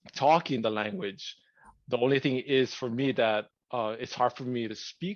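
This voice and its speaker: A man with a Hawaii accent speaks at a medium pitch with ordinary pitch variation. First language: Hawaiian. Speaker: podcast co-host. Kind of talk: casual chat. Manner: halting, many fillers.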